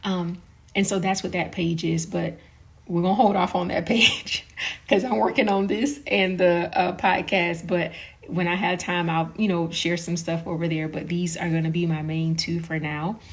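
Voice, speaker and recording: Over noticeable background noise, a woman with a fairly low voice speaks at a moderate pace, her pitch varying in an ordinary way. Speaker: parenting content creator, podcaster. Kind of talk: casual talk to camera.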